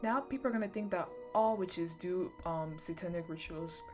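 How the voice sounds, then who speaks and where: With music in the background, a woman talks in a fairly low pitch with ordinary pitch variation. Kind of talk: ASMR horror story reading, casual chatty. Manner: casual, chatty, with asides.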